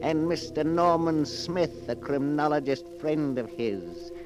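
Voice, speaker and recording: This man talks at a fairly slow pace while loud background noise is heard. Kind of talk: 1940s radio horror narration. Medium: old radio play. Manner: theatrical, melodramatic.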